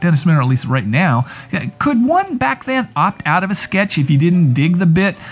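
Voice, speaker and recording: A man with a high pitch speaks at a moderate pace with very wide pitch swings. Noticeable background noise sits behind him. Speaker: radio host. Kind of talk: comedic talk show interview. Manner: humorous, jokey, sarcastic.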